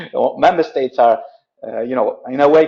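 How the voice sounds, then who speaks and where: A man with an Italian accent speaks at a very fast pace. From Italy. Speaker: logistics company director, webinar presenter. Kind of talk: webinar presentation. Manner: halting, many fillers and repetitions.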